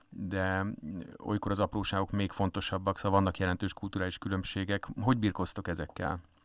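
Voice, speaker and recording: In a very clean recording with a silent background, a man talks in a fairly low pitch with monotone, flat intonation. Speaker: radio host. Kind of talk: interview. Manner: hesitant, many fillers.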